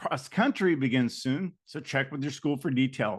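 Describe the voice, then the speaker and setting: A man's medium-pitched voice, lively in intonation, at a moderate pace against a quiet background. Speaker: podcast host, middle school teacher and coach. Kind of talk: podcast outro and interview. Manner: halting, effortful speech.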